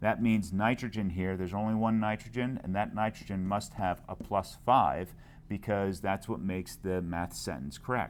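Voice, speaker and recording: A man speaks at a moderate pace with an ordinary speaking voice, a fairly low pitch, ordinary pitch variation, and hardly any pauses. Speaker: chemistry teacher. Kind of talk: lecture. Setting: screencast recording.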